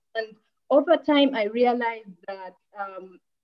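The background stays quiet. Against it, a woman talks very slowly. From Uganda. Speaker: NGO director; panelist. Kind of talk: panel discussion. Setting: video call. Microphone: earbuds.

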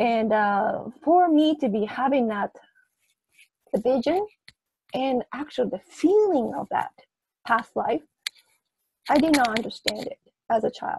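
A woman's high voice with a Japanese accent, fairly slow, with very wide pitch swings, long and frequent pauses, a dry sound with no echo, and light background noise. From Japan, Kyoto. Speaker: prenatal memory researcher. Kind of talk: interview. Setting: video call. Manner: halting. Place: home room. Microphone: video call.

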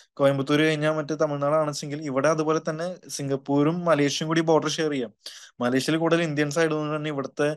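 A man speaks in a fairly high pitch with a flat, monotone delivery. The background is quiet. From Kerala. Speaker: education consultant. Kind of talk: webinar Q&A. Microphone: video call.

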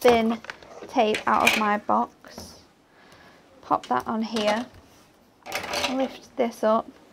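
A woman with an English accent, very slow pace, noticeable background noise. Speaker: craft demonstrator. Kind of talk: craft tutorial. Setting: studio.

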